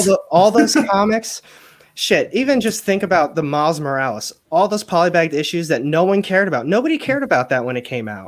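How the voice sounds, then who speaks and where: A man's high-pitched voice at a very fast pace, with very wide pitch swings. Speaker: comic book auctioneer and seller. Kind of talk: casual conversation in a livestream chat about comics.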